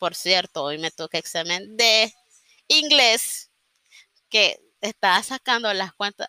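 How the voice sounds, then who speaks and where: The speaker talks very slowly with a Nicaraguan accent, leaving long, frequent pauses and using lively intonation. The tone is bright and sharp, and the sound is dry and close with no echo. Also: woman, medium pitch for a woman. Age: 30s. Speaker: journalist and podcaster. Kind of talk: casual monologue. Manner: improvised, hesitant.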